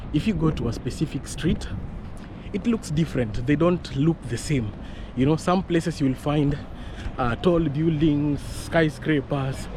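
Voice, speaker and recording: Amid noticeable background noise, a man with a fairly high pitch speaks at a fairly slow pace with lively intonation. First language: not English. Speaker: vlogger. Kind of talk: casual vlog walk-and-talk. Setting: outdoors on street.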